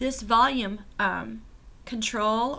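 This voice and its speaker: The woman's voice sits fairly high in pitch, bright and sharp in tone. Vocal fry runs through it. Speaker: novice ukulele player. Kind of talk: casual product review to camera. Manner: hesitant, many fillers.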